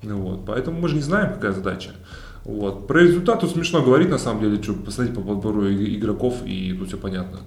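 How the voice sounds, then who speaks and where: Noticeable background noise is audible. Over it, a man talks at a moderate pace. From Russia, Kemerovo. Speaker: former volleyball player turned businessman. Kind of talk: casual interview.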